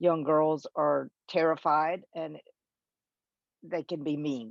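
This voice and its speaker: A woman's very deep, low voice in a monotone, flat intonation. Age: 60s. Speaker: oncology nurse. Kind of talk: interview testimony.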